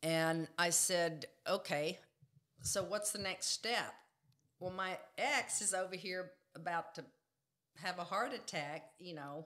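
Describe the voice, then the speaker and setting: A woman in a Texan accent at a very slow pace, bright and sharp in tone, with long, frequent pauses, ordinary pitch variation and a quiet background. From Texas Panhandle; Texas. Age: 60s. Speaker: jiu-jitsu practitioner; podcast guest. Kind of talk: interview answer. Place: studio. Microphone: studio mic.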